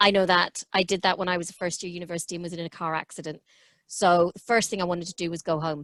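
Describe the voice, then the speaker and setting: Very fast and monotone, a woman speaks with flat intonation at a fairly low pitch, the sound dry and close with no echo. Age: 50s. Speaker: public health official. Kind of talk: webinar Q&A answer.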